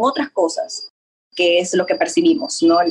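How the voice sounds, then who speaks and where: A somewhat breathy voice moves at a fairly quick pace with very wide pitch swings. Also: woman. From Ecuador. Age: young. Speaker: image consultant. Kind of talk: interview. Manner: halting.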